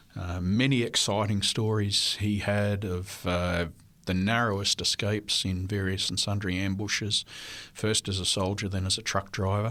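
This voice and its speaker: At a moderate pace, a voice with an Australian accent speaks in monotone, flat intonation on a very clean recording with a silent background. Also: man, fairly low pitch for a man. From Australia (New South Wales). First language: French. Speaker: history professor. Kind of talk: interview. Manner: hesitant with fillers.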